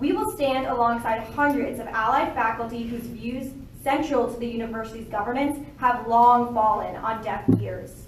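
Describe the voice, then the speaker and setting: Against noticeable background noise and audible room echo, a woman speaks at a high pitch with fairly even intonation. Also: moderate pace. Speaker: student activist. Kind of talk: prepared speech at press conference. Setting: press conference. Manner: formal.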